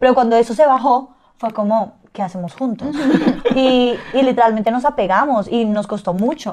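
The pace is moderate. Pitch variation is ordinary. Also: woman, high pitch for a woman. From Colombia. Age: 20s. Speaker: dancer and influencer. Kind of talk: casual interview. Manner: loud.

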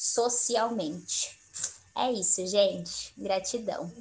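A woman has a plain, everyday voice. Her pitch is fairly high and her intonation fairly even. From Mato Grosso do Sul, Brazil. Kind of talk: casual chat. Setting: video call.

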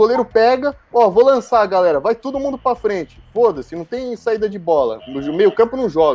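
This man speaks at a high pitch. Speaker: football fan panelist. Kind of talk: casual chat. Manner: animated.

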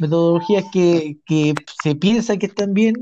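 A man speaks at a moderate pace with a Chilean accent, his dark, mellow voice high in pitch for a man. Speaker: podcast host. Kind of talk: casual political chat.

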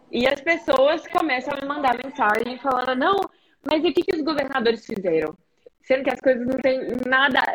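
The intonation is lively while the loudness stays very even. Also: woman, high pitch for a woman, moderate pace. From Brazil, Belo Horizonte. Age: 20s. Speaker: podcast host and student. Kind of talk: interview. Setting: live stream.

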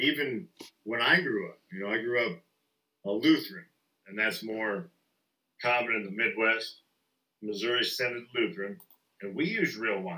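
With a Southern US accent, a man at medium pitch talks at a moderate pace in a bright, sharp tone, his lively intonation broken by long, frequent pauses and big swings in loudness. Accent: Southern US, picked up. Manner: joking, profane.

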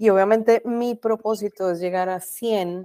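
Fairly slow and dark, mellow in tone, a woman's voice sounds dry and close with no echo. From Colombia. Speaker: branding professional and podcaster. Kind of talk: interview.

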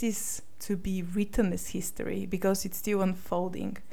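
In a Bulgarian accent, a woman speaks with a dark, mellow tone. Her fairly slow speech carries audible room echo. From Bulgaria, Sofia. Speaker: podcast host and life coach. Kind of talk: solo podcast monologue.

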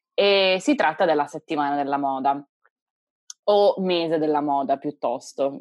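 Using long, frequent pauses, a woman speaks at a fairly slow pace in a very deep, low voice with ordinary pitch variation. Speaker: podcast co-host. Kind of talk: casual chat.

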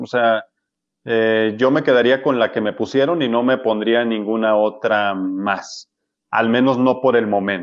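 This man has a plain, everyday voice at a medium pitch. He speaks at a fairly slow pace with fairly even intonation. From Mexico, Sinaloa (Culiacán). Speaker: medical doctor. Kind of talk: interview.

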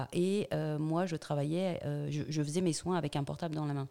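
Very deep, low-pitched woman's voice, dark and mellow in tone, with ordinary pitch variation and a very clean recording over a silent background. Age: 50s. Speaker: business owner, former private detective. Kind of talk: interview. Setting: her company's premises. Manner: halting, many repetitions.

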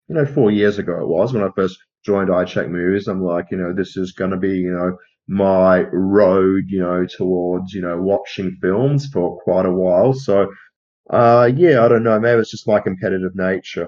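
With an Australian accent, a man talks at a moderate pace in a very deep, low pitch, using ordinary pitch variation. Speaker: film podcast co-host. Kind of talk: casual chat.

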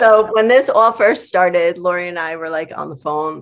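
With an American accent, an ordinary speaking voice moves at a moderate pace with lively intonation. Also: woman. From New York. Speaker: librarian and collective organizer. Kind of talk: casual chat.

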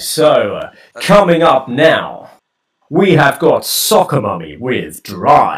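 A put-on character voice from a man, fairly high-pitched and very slow. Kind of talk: announcer-like.

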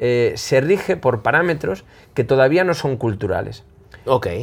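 A man talks at a moderate pace with lively intonation in a plain, everyday voice. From Spain, Zamora. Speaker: magician. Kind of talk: casual interview before live audience. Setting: magic shop with live audience.

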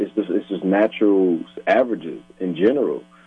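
Music plays in the background as a man speaks. He has an American accent and a moderate pace. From Minnesota, South Minneapolis. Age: 30s. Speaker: hip hop artist. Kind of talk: casual chat. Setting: phone call.

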